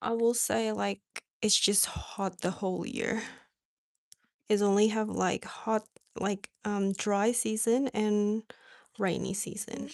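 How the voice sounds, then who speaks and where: A woman with an American accent talks at a very slow pace, leaving long, frequent pauses. Her intonation is monotone and flat. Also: medium pitch for a woman. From Indonesia. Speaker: craft livestreamer. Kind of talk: casual live chat. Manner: hesitant, many fillers.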